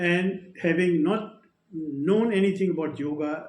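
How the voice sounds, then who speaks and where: Audible room echo surrounds a man speaking with an Indian accent and ordinary pitch variation. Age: 70s. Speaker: retired air force officer. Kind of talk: testimony. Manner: halting.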